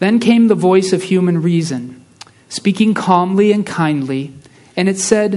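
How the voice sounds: The speaker uses a natural reading voice, and the pitch moves up and down in a normal way.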